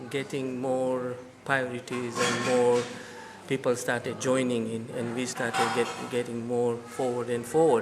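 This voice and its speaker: There is audible room echo and noticeable background noise. Through it, a man talks at a medium pitch. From India (Gujarati community). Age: 60s. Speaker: temple community member. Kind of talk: interview, oral history. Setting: in a temple. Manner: halting, many fillers.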